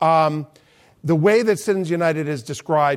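A man talks fairly quickly in a normal speaking voice, his pitch varying in an ordinary way. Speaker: professor and political scientist. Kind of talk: panel talk with slides. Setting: live panel event.

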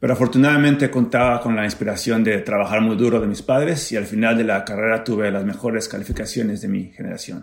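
Very fast in pace, a man talks at medium pitch with ordinary pitch variation in a very clean recording with a silent background. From Mexico, Acapulco. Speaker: physics professor. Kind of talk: personal testimony and science explanation. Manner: halting, with fillers and repetitions.

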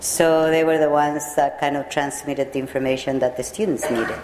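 A woman's very deep, low voice with a Spanish accent, fairly quick and fairly even in intonation, over noticeable background noise. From Mexico, Veracruz. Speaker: mystery novelist. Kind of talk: panel discussion.

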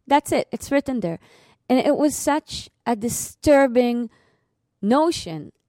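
With an Israeli accent, a woman speaks very slowly in a high pitch, her tone dark and mellow and her intonation lively, with long, frequent pauses and a dry, close sound with no echo. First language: Hebrew. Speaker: novelist and clinical psychologist. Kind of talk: public lecture. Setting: lecture hall with audience.

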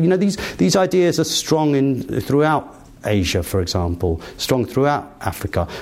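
With an English accent, a man speaks at a moderate pace with very wide pitch swings over noticeable background noise. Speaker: human rights lawyer and author. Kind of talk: interview.

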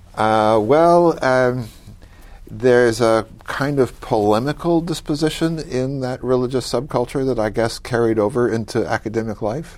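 This is a man with a normal speaking voice, medium in pitch, at a moderate pace with ordinary pitch variation. The recording is very clean, with a silent background. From US South, mountains of North Carolina. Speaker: professor. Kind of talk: interview.

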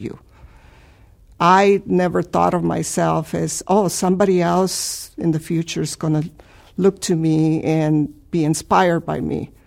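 Recorded very cleanly with a silent background, a woman speaks with a Spanish accent. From Chicago, US (from Mexico as a child). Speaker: professor and cancer researcher. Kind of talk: personal career testimony. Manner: hesitant, many fillers.

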